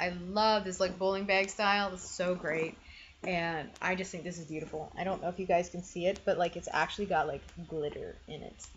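With a plain, everyday voice, a woman speaks at medium pitch and a fairly quick pace with fairly even intonation, over light background noise. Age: 30s. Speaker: lifestyle YouTuber. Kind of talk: casual haul monologue. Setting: home video recording. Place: home room. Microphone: webcam.

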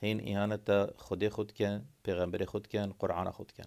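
In a Kurdish accent, a man talks at fairly low pitch and a fairly slow pace against a quiet background. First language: Kurdish (speaking Arabic). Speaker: video blogger. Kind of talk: monologue to camera. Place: home room. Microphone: phone near.

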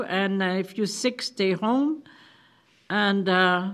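The background stays quiet while the woman's pitch varies in an ordinary way. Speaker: council chair. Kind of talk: meeting report. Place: meeting room. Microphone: podium.

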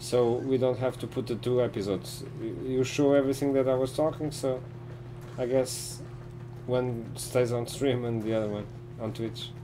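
Amid noticeable background noise, a man with a non-native accent talks at a moderate pace with monotone, flat intonation. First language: not English. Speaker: gaming streamer. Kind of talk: live gameplay commentary and casual chat. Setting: live stream with online voice chat. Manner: halting. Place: home room.

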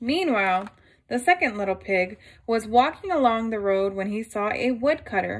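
The voice is an unforced reading voice. It is heard throughout the clip.

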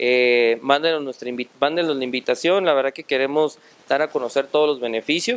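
At a fairly quick pace, the speech shows ordinary pitch variation. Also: man. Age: 30s. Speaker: regional union coordinator. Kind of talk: interview. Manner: halting, many fillers. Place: hall. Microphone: handheld.

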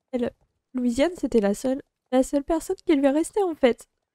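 At a moderate pace, a woman talks in a high pitch with a dark, mellow tone and ordinary pitch variation, the sound dry with no echo over a quiet background. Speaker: YouTuber. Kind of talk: storytime monologue. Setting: home office. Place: home room. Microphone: studio mic.

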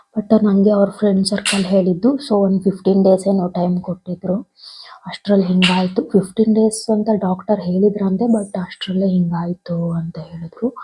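Her voice is somewhat breathy and medium in pitch, a woman speaking with a dark, mellow tone and monotone, flat intonation. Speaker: vlogger. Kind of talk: vlog monologue. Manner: halting.

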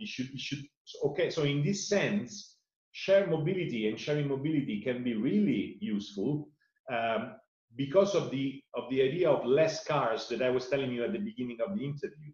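Somewhat breathy, with an Italian accent, the speaker goes at a moderate pace with lively intonation, audible room echo and a quiet background. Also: man. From Italy. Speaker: sustainability foundation director; interviewee. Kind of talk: interview. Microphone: webcam.

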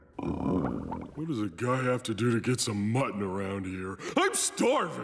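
Clear background noise accompanies a man speaking at a medium pitch. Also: fairly slow pace, ordinary pitch variation. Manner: slow, dopey.

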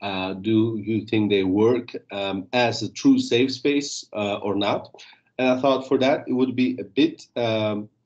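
A man at a fairly slow pace, with ordinary pitch variation against a quiet background. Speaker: NGO practitioner presenting on online youth work; webinar presenter. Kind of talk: webinar presentation. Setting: video call. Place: home room. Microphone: webcam.

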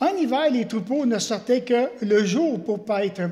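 With a dark, mellow tone, a man talks at a fairly slow pace, his pitch extremely high with ordinary variation, over a quiet background. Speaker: pastor. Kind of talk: sermon. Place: church. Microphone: podium.

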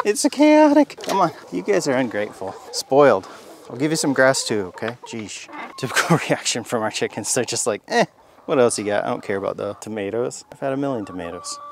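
Talking at a fairly quick pace, a man's voice swings widely in loudness, sounding dry with no echo against noticeable background noise. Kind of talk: casual vlog chat. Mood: relaxed, amused. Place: garden.

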